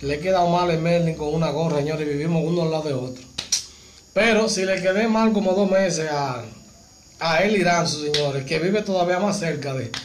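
Over light background noise, a man with a high voice talks at a fairly quick clip, his pitch varying in an ordinary way. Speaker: car channel host. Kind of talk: casual live stream chat. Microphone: phone near.

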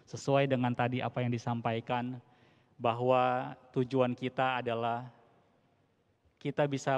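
A man talks at a fairly slow pace in a monotone with flat intonation. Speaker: Buddhist religious leader. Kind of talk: formal speech. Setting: church with audience. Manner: formal. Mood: warm, hopeful. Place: church. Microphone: handheld.

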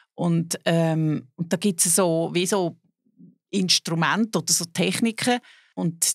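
At a very slow pace, a woman with a fairly low pitch and ordinary pitch variation speaks in a dry sound with no echo over a quiet background. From Switzerland, Zug; Switzerland. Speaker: actress and musical performer; actress. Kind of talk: casual interview. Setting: podcast studio. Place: studio. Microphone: studio mic.

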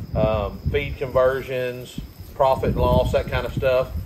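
Loud background noise behind a man talking at a moderate pace. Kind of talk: casual vlog explanation. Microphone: camera far.

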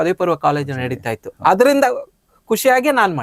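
A man is recorded with a dry, close sound that has no echo. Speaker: cricket commentator. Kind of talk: interview. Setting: studio.

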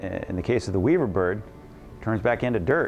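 Faint music plays behind a man speaking at a fairly low pitch. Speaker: interviewee. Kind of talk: interview answer. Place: home room. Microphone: lapel.

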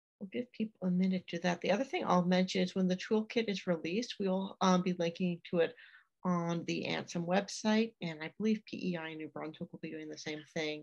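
A woman with a plain, everyday voice speaks at a fairly quick pace and fairly low pitch, with ordinary pitch variation. Her loudness swings widely, and the background is quiet. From Atlantic Canada. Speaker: museum association executive director. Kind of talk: webinar hosting. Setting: video call. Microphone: video call.

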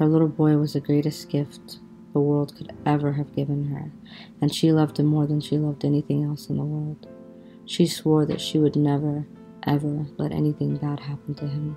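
A soft-spoken woman's very deep, low voice, soothing and gentle in tone, with fairly even intonation, a moderate pace and music in the background. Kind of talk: sleep story. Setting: bedtime relaxation narration with soft music. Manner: soft, soothing, gentle.

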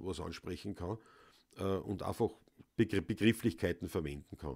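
Against a quiet background, a man with a Viennese accent speaks in a very deep, low pitch. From Vienna, Austria; Austria. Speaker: Viennese folk musician, livestream host; livestream host. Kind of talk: casual chat. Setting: home studio livestream. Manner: loud. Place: home room.

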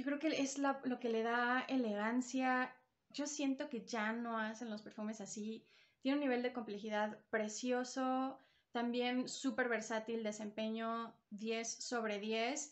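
At a very slow pace, a woman speaks with a fairly high pitch and monotone, flat intonation. The background is quiet. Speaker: perfume reviewer, video creator. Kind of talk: product review vlog. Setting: recorded on a phone at home. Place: home room. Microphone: new phone.

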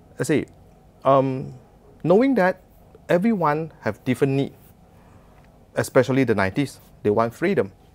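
The speech moves at a moderate pace with very wide pitch swings. Long, frequent pauses break it up. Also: man, fairly high pitch for a man. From Malaysia. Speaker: entrepreneur; interview guest. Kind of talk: interview. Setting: studio. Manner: hesitant, many fillers. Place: studio.

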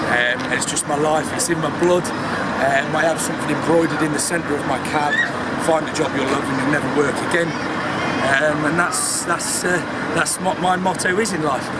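Loud background noise surrounds the recording. Over it, a man talks at a fairly quick pace. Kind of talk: interview answer. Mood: proud, cheerful. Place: street. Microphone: phone near.

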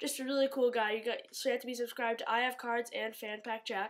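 The recording is very clean, with a silent background. A woman speaks in a flat monotone. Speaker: YouTube sports card collector. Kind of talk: casual vlog announcement. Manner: hesitant, filler words.

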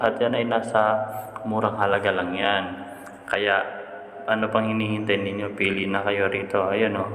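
Noticeable background noise accompanies a man speaking at a moderate pace with a fairly low pitch and monotone, flat intonation. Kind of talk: street-seller sales pitch, walking tour. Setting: outdoors at a warehouse.

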